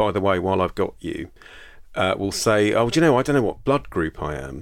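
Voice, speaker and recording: Fairly low-pitched, a man speaks with a British accent and lively intonation. The recording is very clean, with a silent background. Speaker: general practitioner podcast host. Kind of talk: solo educational monologue.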